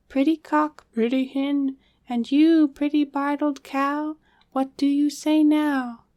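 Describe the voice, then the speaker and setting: A put-on character voice drones in a flat monotone at a fairly slow pace. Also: woman, high pitch for a woman. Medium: read story. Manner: ritual, sing-song.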